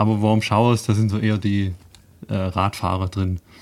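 His voice is fairly low, and this man speaks in a flat monotone. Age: 30s. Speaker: engineer and cycling traveler. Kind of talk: radio interview. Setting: studio.

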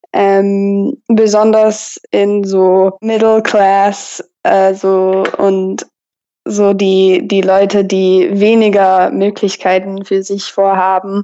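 Very slowly and in a monotone, flat intonation, a woman speaks. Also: medium pitch for a woman, very even loudness. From Texas. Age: 20s. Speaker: college student. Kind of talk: interview. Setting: phone call. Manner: halting.

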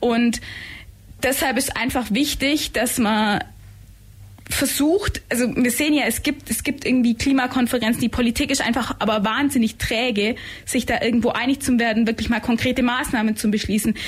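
Moderate pace, very even loudness and fairly even intonation. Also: woman, high pitch for a woman. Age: 20s. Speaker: climate activist. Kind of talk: radio interview. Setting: radio studio.

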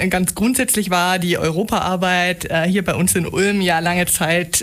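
A woman talks in a normal speaking voice at a medium pitch. Her pace is moderate. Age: 30s. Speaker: EU information centre coordinator. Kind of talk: radio interview. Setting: radio studio.

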